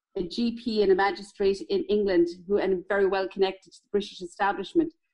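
A woman speaks with a Tipperary accent. Her pace is fairly quick and her intonation lively. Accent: Irish (Tipperary). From Ireland, County Tipperary. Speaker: local historian. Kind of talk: interview.

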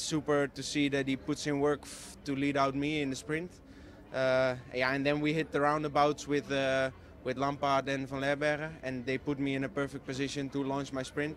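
A man speaks in a monotone, flat intonation, the sound dry with no echo and light background noise behind him. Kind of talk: interview answer. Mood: happy, relaxed after win. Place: street. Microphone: handheld.

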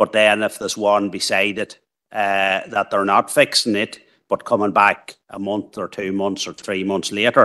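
Speaking at a fairly slow pace with few pauses, a man uses a fairly low pitch with little pitch movement and a bright, sharp tone.

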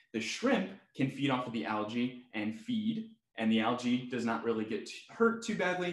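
A man at a fairly slow pace, audible room echo, quiet background. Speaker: zoo educator. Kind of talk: webinar tutorial. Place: home room.

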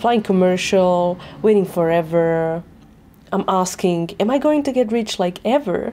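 A woman speaks at a fairly slow pace and medium pitch with a dark, mellow tone. Her intonation is lively and her loudness very even. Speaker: short film performer. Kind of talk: spoken word monologue. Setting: short film. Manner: intense, bitter, rhythmic, rhyming, angry delivery.

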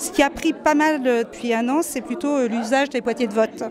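A woman's voice in a dry sound with no echo, with crowd noise in the background. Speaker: university pedagogy support director. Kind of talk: interview, casual professional chat. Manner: hesitant, many fillers. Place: hall. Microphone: handheld.

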